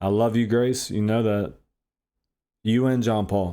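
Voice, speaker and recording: In a very clean recording with a silent background, a man mumbles at a moderate pace, his medium-pitched voice dark and mellow with fairly even intonation. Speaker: pizza shop worker. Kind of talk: heartfelt personal monologue.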